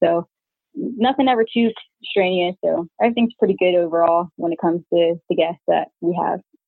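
Speaking at a moderate pace, a woman with a plain, everyday voice and a fairly low pitch uses lively intonation. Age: 20s. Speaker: army veteran and short-term rental entrepreneur. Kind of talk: interview.

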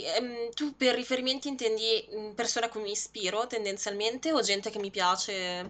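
This is an ordinary speaking voice, a woman's with a fairly high pitch. She moves at a moderate pace with ordinary pitch variation. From Lombardy, Monza Brianza. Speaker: video editor, graphic designer and streamer. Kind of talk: interview. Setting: live stream.

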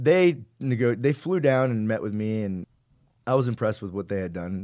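An unremarkable speaking voice from a man, fairly low in pitch, with lively intonation at a moderate pace, on a very clean recording with a silent background. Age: 30s. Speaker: entrepreneur and fitness trainer. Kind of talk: casual interview chat.

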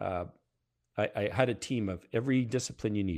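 Talking at a fairly quick pace, a man has a strong Canadian accent. His fairly low voice carries lively intonation. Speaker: retired fighter test pilot. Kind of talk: casual interview chat.

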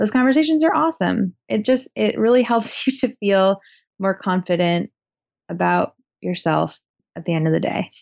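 A woman speaks at a moderate pace with a West Coast accent. Her medium-pitched voice moves in very wide pitch swings. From Portland, Oregon, US Pacific Northwest. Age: 30s. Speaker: writer and high school teacher. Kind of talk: casual interview.

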